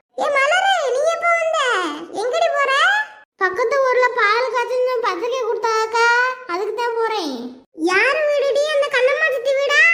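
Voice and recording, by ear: A cartoonish character voice speaks at a fairly slow pace. Its intonation is lively. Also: woman, extremely high pitch for a woman.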